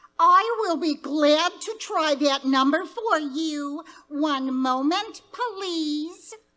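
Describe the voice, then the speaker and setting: Speaking at a very slow pace with hardly any pauses, a woman uses a put-on character voice that is high-pitched, with lively intonation. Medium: stage play. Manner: polite, formal.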